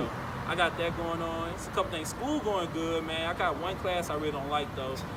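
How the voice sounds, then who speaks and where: A man's high-pitched voice at a fairly quick pace, fairly even intonation, noticeable background noise behind him. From New Orleans, Louisiana. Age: 20s. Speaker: college radio host and MC. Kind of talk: interview answer. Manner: casual, laid-back.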